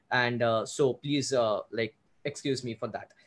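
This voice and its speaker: A man with an Indian accent, at a moderate pace. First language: Hindi. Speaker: photographer and YouTuber. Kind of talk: interview conversation. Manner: hesitant, fumbling.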